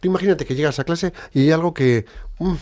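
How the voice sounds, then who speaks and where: A man races along at a very fast pace in a very clean recording where the background is silent. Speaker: radio host. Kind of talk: radio talk show. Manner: animated.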